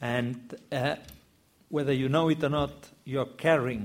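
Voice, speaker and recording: A man with a Catalan accent at a fairly slow pace. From Catalonia, Spain. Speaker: novelist. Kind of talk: panel discussion. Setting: bookshop event with audience.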